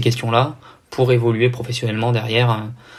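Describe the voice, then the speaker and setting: A man's somewhat breathy, medium-pitched voice in a monotone, flat intonation, with audible room echo. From southern France. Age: 20s. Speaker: triathlete and anti-doping official. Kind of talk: podcast interview. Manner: hesitant, many fillers.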